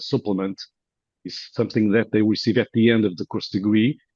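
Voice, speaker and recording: Dry and close with no echo, the recording has a quiet background. A medium-pitched man speaks with a Portuguese accent and fairly even intonation. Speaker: professor. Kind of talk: conference presentation. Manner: halting, many fillers.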